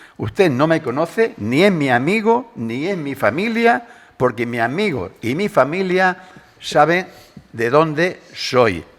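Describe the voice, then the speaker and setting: Over noticeable background noise, the voice moves at a very slow pace with very wide pitch swings. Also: man, fairly high pitch for a man. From Spain, Madrid. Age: 70s. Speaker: political talk show panelist. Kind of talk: heated debate. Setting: radio studio. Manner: animated.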